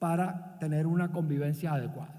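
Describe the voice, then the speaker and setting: A man with a Barranquilla accent speaks in a dark, mellow tone at a high pitch with fairly even intonation, with audible room echo. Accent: Barranquilla coastal Colombian. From Colombia, Barranquilla (Caribbean coast). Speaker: business leader and visiting professor. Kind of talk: conference talk.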